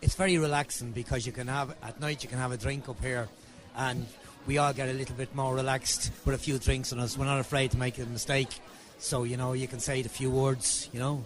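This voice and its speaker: A man with an Irish accent talks fairly quickly in a monotone, flat delivery. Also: medium pitch for a man. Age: 60s. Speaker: audience member. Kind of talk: vox pop interview. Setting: live gig venue.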